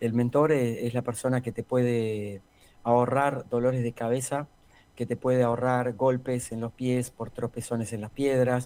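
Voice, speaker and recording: The dark, mellow tone moves at a fairly slow pace with monotone, flat intonation. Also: man, medium pitch for a man. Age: 60s. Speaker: executive coach. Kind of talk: interview.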